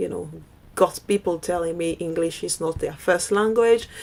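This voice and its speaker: A woman's voice carries a dark, mellow tone. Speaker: digital marketing coach. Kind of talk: online course presentation. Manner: hesitant with fillers.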